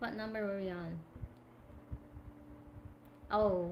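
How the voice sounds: In a room with audible echo, a woman speaks slowly at a medium pitch with fairly even intonation.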